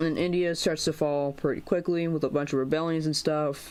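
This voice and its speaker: Recorded very cleanly against a silent background, the speaker talks at a moderate pace with an American accent. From United States. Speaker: YouTuber making geography mapping videos. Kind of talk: casual commentary over map video. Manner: halting, many fillers and false starts.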